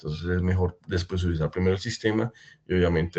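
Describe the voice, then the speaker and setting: A man speaks at a fairly quick pace in a very deep, low pitch. His voice is somewhat breathy against a quiet background. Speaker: pump brand representative. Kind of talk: webinar presentation. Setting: online webinar. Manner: fast.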